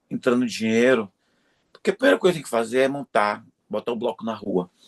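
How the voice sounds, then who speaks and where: Lively intonation marks a man's medium-pitched voice, recorded with a dry, close sound with no echo. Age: 60s. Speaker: creativity consultant and professor. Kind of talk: interview conversation.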